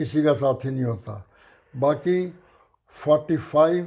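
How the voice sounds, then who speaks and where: This man's voice sits fairly high in pitch, with a dark, mellow tone. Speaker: retired navy veteran. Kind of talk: interview answer.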